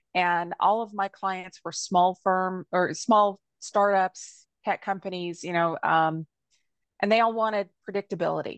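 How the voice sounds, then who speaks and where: A woman talks in an ordinary speaking voice, at a medium pitch with fairly even intonation and a fairly slow pace. The sound is dry and close with no echo, over a quiet background. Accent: American. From Alabama, US South. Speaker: business attorney. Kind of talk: interview.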